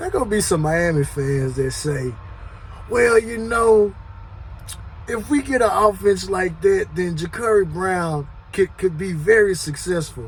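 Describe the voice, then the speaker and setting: A loud man speaks with a high pitch and lively intonation at a fairly slow pace. Noticeable background noise can be heard. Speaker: sports commentary youtuber. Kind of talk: casual monologue.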